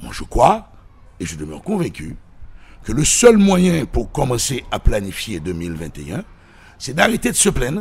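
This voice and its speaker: Speaking at a fairly slow pace, a man uses vocal fry and very wide pitch swings. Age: 60s. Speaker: political commentator. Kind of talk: radio interview. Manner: animated.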